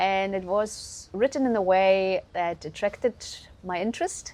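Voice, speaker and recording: A woman speaks with a German accent. Her pitch sits in the medium range. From Germany. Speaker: guesthouse owner. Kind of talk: casual interview. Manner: hesitant, many fillers.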